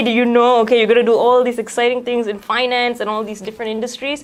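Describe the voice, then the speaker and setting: Over noticeable background noise, a woman talks very fast in a fairly high pitch. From Malaysia. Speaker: student radio host. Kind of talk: interview.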